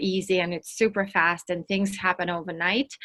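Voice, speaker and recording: Speaking with a Russian accent, a woman keeps her intonation monotone and flat. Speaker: entrepreneur and workshop speaker. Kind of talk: online workshop presentation.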